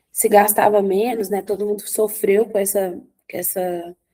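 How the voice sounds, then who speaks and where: This is a woman's voice at a medium pitch. Her intonation stays fairly even. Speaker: teacher. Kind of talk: online lecture. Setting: recorded remote class. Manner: halting, many restarts and fillers.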